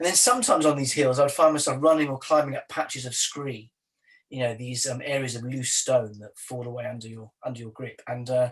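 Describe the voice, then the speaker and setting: With a Welsh accent, a medium-pitched man speaks fairly quickly and somewhat breathily, his intonation fairly even but his loudness swinging widely. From South Wales. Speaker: poet. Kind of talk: interview. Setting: video call.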